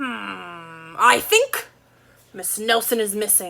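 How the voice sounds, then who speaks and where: A woman's put-on character voice at a medium pitch and a very slow pace. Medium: read story.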